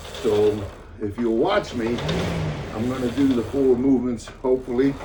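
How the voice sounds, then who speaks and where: The recording has noticeable background noise behind a man speaking at a medium pitch. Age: 80s+. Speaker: older exerciser demonstrating workouts. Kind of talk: casual talk to camera. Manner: rambling, hesitant.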